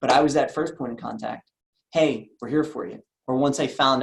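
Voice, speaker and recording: Speaking very fast in an American accent, a man uses an energetic tone at a fairly high pitch, with vocal fry and ordinary pitch variation. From US Northeast, Philadelphia. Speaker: insurance agency owner and sales trainer. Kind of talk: sales training talk.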